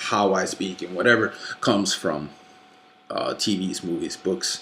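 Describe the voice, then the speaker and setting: A man talks at a moderate pace, his pitch varying in an ordinary way, while noticeable background noise runs behind him. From Norway. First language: Norwegian. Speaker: YouTuber / movie collector. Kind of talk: casual vlog rant. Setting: late night home recording. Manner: halting, many fillers.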